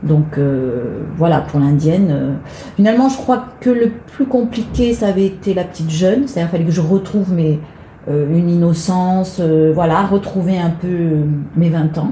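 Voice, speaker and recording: The speech moves at a moderate pace with lively intonation, amid noticeable background noise and audible room echo. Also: woman, fairly low pitch for a woman. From Marseille, southern France. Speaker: actress and singer. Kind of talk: interview.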